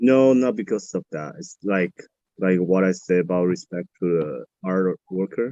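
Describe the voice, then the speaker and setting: A man's very deep, low voice with a Chinese accent, dark and mellow in tone, with ordinary pitch variation at a fairly slow pace, dry and close with no echo. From Taiwan. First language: Mandarin Chinese. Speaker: college student. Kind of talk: interview. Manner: halting.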